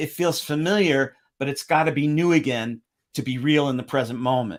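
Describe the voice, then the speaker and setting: An animated man with an American accent at a fairly quick pace, with ordinary pitch variation in a very clean recording with a silent background. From Connecticut, US Northeast. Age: 60s. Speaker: astrologer. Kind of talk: livestream talk.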